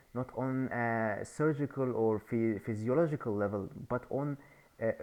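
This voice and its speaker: Speaking at a fairly slow pace with a non-native accent, a man keeps a medium pitch and ordinary pitch variation. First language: not English. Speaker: YouTuber sharing ideas. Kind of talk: casual monologue. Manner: halting.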